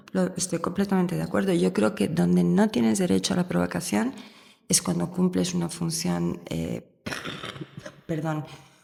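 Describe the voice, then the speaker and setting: A woman with an Italian accent speaks at a moderate pace, with long, frequent pauses. There is noticeable background noise. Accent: Italian-tinged Spanish. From Spain, raised in Rome. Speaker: university professor. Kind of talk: podcast interview answer.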